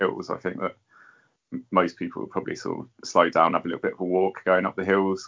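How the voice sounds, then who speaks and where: A man rattles along at a very fast pace in an English accent. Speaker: podcast co-host, ultrarunner. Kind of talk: casual chat.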